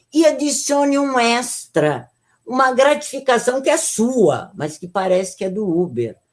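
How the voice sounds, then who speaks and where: With very wide pitch swings, a woman talks at a fairly high pitch and a fairly slow pace. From Brazil, São Paulo. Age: 70s. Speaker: geography professor. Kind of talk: lecture.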